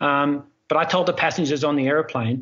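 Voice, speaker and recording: The speaker is a man with an Australian accent. His voice sits fairly high. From Australia, Melbourne. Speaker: airline pilot. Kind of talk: interview. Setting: video call.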